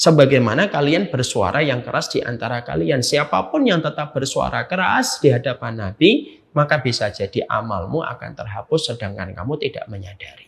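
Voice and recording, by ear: Speaking at a moderate pace, a man with a medium pitch has lively intonation, vocal fry and a slightly husky edge.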